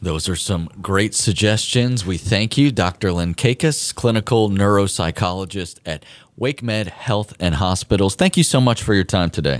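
A man talks at a moderate pace with ordinary pitch variation, in a normal speaking voice. The recording is very clean, with a silent background. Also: fairly low pitch for a man, hardly any pauses. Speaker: radio host. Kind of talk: radio dj patter, upbeat station banter with sign-offs. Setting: studio. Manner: bright, chatty, jokey.

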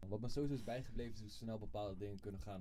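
A man with a dark, mellow tone speaks at a very fast pace amid audible room echo. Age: 20s. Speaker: guest. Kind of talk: interview.

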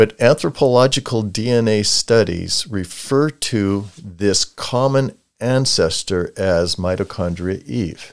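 A man with an American accent speaks very slowly at a fairly low pitch, with ordinary pitch variation, on a very clean recording with a silent background. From US Pacific Northwest (Portland, Lakewood WA). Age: 70s. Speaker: retired science teacher. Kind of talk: casual interview. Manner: animated.

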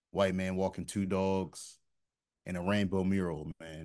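A man with a very deep, low pitch speaks in a flat monotone against a quiet background. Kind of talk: casual chat. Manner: relaxed, chatty.

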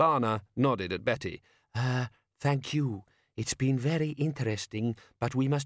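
The reading voice is natural, with ordinary pitch variation. Behind it, the background is quiet.

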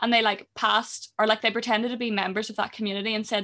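On a very clean recording with a silent background, a woman with a fairly high pitch and a bright, sharp tone speaks in a monotone, flat intonation. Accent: Northern Irish. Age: 20s. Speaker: podcast co-host. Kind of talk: casual chat. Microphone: new gaming mic.

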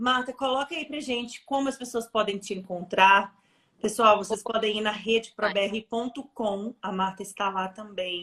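At a fairly slow pace, a woman with a fairly high pitch and a bright, sharp tone speaks with ordinary pitch variation. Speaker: interview host. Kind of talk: interview. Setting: live online stream.

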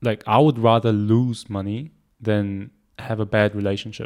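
In a very clean recording with a silent background, a man talks at a moderate pace in a normal speaking voice with medium pitch. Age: 20s. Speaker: podcast co-host and entrepreneur. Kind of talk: casual chat. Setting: office.

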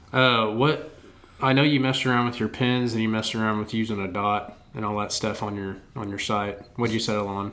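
Fairly low in pitch, a man talks at a fairly quick pace in an animated tone. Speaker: podcast host and archery coach. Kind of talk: casual chat. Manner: animated, joking.

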